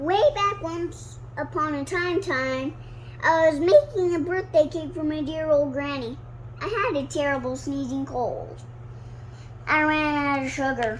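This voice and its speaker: A put-on character voice comes at a moderate pace. Clear background noise is present. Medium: read story. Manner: chatty, defensive.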